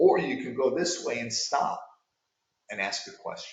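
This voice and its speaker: Audible room echo surrounds a man who speaks with an American accent. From New York. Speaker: sales coach. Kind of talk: coaching talk to sales managers.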